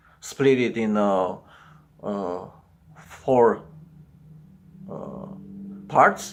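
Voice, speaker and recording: A man talks with a Romanian accent. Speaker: psychology commentator. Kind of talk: video commentary monologue. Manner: halting, many fillers.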